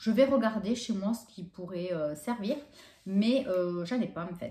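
Her tone dark and mellow, a woman speaks somewhat breathily at a fairly slow pace, with audible room echo. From France. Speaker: YouTuber doing shopping hauls. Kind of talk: casual vlog haul presentation. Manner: hesitant, many fillers. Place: home room. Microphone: camera far.

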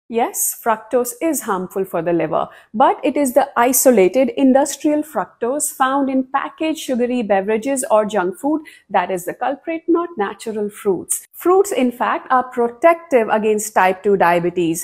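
With hardly any pauses, a woman speaks at a moderate pace in a high voice that makes very wide pitch swings. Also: quiet background. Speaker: nutrition content creator. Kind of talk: educational explainer to camera. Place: home room. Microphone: lapel.

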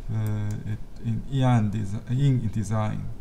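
A man does the talking here. Background music accompanies his voice. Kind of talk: tutorial. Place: home room.

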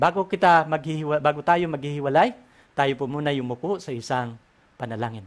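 In a plain, everyday voice, a man talks at a fairly quick pace with a fairly high pitch and ordinary pitch variation. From Philippines. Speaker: Bible prophecy teacher. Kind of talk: religious lecture; prayer. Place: home room. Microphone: headset.

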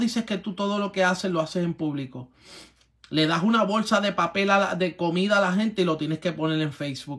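The pitch varies in an ordinary way as the speech proceeds at a moderate pace over a quiet background. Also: man. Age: 40s. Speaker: pastor. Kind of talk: sermon. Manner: animated. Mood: confrontational, preaching. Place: home room. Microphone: phone near.

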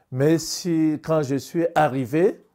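Against a quiet background, a man talks at a very slow pace in a dark, mellow tone. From Madagascar. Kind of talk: interview testimony; interview answer. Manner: halting. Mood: serious, reflective. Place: home room. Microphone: lapel.

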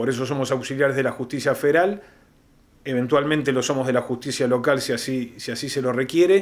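This man talks at a fairly quick pace. His pitch variation is ordinary. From Argentina. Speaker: police chief. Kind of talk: interview. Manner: halting. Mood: calm, formal. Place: office. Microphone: handheld.

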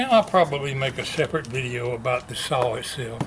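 At a moderate pace, a man talks while noticeable background noise carries on behind him. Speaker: vlogger. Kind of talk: casual vlog chat. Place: garage. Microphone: camera far.

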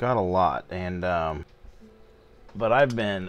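His delivery is very slow. A man's pitch moves with ordinary variation. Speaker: sports card collector. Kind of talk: casual talk to camera. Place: home room. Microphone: phone near.

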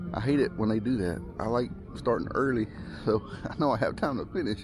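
A man at a moderate pace with ordinary pitch variation, a dry sound with no echo, and clear music in the background. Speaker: mountain bike vlogger. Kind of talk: casual vlog chat. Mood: relaxed, a bit nervous. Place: open country. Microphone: phone near.

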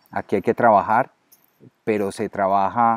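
The sound is dry with no echo and the background quiet. A man speaks at a moderate pace. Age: 50s. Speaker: network marketer. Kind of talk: interview. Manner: halting, many fillers. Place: garden. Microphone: webcam.

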